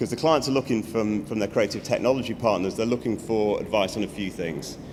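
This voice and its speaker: Audible room echo around a man's medium-pitched voice. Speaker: creative technology agency CEO. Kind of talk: conference talk. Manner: many fillers and repetitions; fast.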